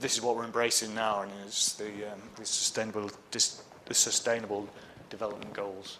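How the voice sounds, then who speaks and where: The talk moves at a fairly quick pace in a monotone, flat intonation, with noticeable background noise and audible room echo. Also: man. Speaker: structural engineer. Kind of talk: conference talk. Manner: fast.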